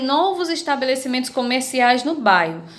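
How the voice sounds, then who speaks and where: A woman with a high pitch and lively intonation speaks amid audible room echo. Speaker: schoolteacher. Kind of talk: online lesson for children.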